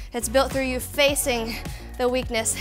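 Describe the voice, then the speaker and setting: A woman's high voice, monotone and flat, at a moderate pace over clear background music. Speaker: fitness instructor. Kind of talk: workout instruction and outro. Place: studio. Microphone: headset.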